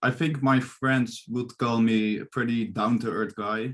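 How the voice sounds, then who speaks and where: The speaker talks at a very slow pace with a Dutch accent. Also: man. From Netherlands. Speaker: psychology student. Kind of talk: interview. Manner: halting, many fillers.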